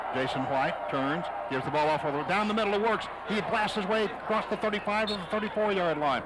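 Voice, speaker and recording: Very fast, excited speech with lively intonation over noticeable background noise. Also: man. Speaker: radio play-by-play announcer. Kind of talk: live radio football play-by-play.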